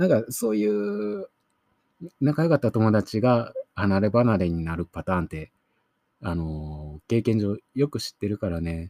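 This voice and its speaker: Dark and mellow in tone, a man talks at a fairly slow pace and fairly low pitch with lively intonation, the sound dry and close with no echo. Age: 30s. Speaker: film review podcaster. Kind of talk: solo film review monologue. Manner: casual, hesitant with many fillers.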